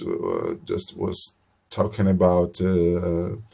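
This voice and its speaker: This man speaks with a Brazilian Portuguese accent. His pace is very slow. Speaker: English learner. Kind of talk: online English lesson conversation. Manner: halting, many hesitations and repeats.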